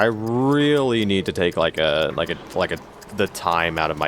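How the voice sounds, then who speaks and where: A man talks at a moderate pace with lively intonation. Noticeable background noise runs under his voice. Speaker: gaming YouTuber. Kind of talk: gameplay commentary. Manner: halting, stutters a lot.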